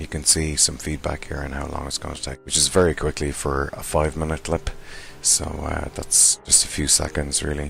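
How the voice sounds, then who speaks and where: A man with a very deep, low pitch talks at a moderate pace in a monotone, flat intonation over noticeable background noise. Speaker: software tutorial maker. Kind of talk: tutorial. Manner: hesitant with fillers.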